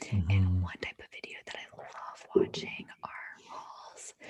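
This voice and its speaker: Whispering, a woman speaks at a fairly slow pace. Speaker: ASMR creator. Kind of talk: interview answer. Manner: soft-spoken.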